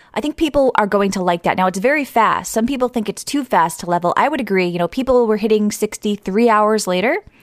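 Speaking very fast with hardly any pauses, a woman uses a fairly high pitch and lively intonation over noticeable background noise. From US East Coast. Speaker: podcast host. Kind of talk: casual chat. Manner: halting.

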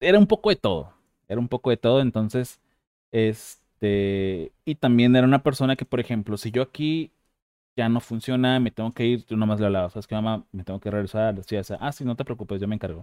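Using a normal speaking voice, a man speaks at a fairly quick pace with medium pitch and ordinary pitch variation. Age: 30s. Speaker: podcast host. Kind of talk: casual interview chat. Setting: video call.

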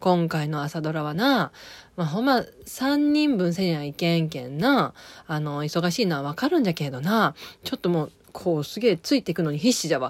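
In a strong Okayama accent, a woman with a fairly low pitch makes very wide pitch swings on a very clean recording with a silent background. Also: moderate pace. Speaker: podcaster reviewing TV drama. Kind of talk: casual monologue. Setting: recording at home. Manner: halting.

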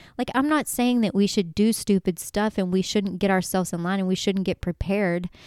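A woman speaks with a normal speaking voice, medium in pitch, with ordinary variation. The sound is dry and close with no echo, on a very clean recording with a silent background. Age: 40s. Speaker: faith podcast host. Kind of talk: casual faith talk. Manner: casual, filler-heavy.

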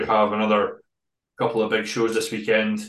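A man with an ordinary speaking voice and medium pitch keeps a moderate pace and fairly even intonation. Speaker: bodybuilding prep coach. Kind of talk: casual interview chat.

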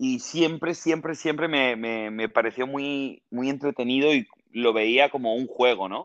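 Using a plain, everyday voice, a man talks at a fairly slow pace at medium pitch with ordinary pitch variation. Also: hardly any pauses. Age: 30s. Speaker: TV presenter and actor. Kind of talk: casual interview.

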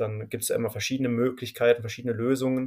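A man at medium pitch. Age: 20s. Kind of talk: podcast interview.

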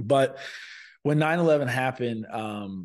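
An unremarkable speaking voice from a man, moderate pace and ordinary pitch variation, against a quiet background. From Sarasota, Florida. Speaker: lawyer and military veteran. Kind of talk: interview.

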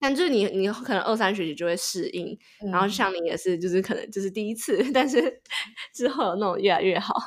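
A normal speaking voice moves at a fairly quick pace with lively intonation. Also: woman, medium pitch for a woman. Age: 20s. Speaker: podcast co-host, master's graduate. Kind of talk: casual chat.

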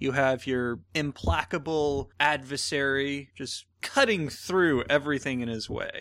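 A man with an unremarkable speaking voice talks fairly slowly at a fairly high pitch, with ordinary pitch variation. He hardly pauses, and the recording is very clean with a silent background. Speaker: co-host. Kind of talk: casual film discussion podcast.

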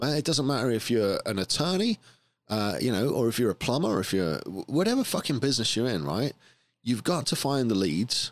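Speaking at a fairly quick pace in an English accent, a man with medium pitch and some vocal fry uses lively intonation and an animated tone, captured in a very clean recording with a silent background. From England. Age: 40s. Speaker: podcast host and business owner. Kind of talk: casual chat.

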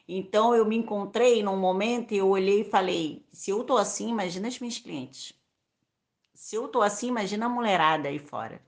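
A woman's normal speaking voice at a medium pitch with ordinary pitch variation, over a quiet background. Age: 30s. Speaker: beauty salon owner and microentrepreneur. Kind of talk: podcast interview.

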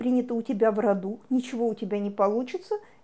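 Dark and mellow in tone, a woman speaks at a fairly quick pace. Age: 40s. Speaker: psychologist. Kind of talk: lecture.

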